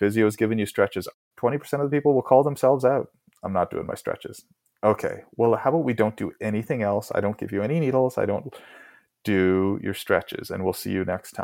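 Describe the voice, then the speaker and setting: This man with a Canadian accent has a normal speaking voice, medium in pitch with ordinary pitch variation, talking at a fairly quick pace on a very clean recording with a silent background. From Port Moody, BC, Canada. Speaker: rural doctor (GP anesthetist). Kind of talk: interview.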